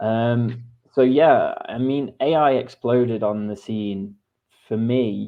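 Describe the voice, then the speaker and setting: A man speaks with an English accent. His intonation stays fairly even. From England. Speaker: creative director. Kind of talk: interview.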